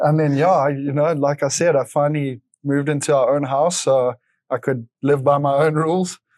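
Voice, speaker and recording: Against a quiet background, a man speaks in a fairly high pitch with monotone, flat intonation and very even loudness. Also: moderate pace. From South Africa, Johannesburg. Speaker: motorcycle racer. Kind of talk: casual interview. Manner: hesitant, filler-heavy.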